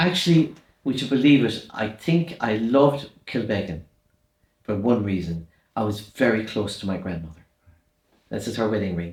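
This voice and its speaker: A man speaks with a strong Irish accent at a moderate pace. His fairly low, somewhat breathy voice comes with long, frequent pauses. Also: lively intonation. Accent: Irish, kept strong despite years in London. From Ireland, rural midlands and west. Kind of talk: interview, life story.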